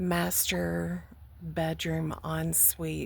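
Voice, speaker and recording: A woman speaks with an American accent at a very deep, low pitch. Her intonation is monotone and flat. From Texas, Houston. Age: 60s. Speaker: vlogger. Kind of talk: personal testimony. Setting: outdoors by a lake.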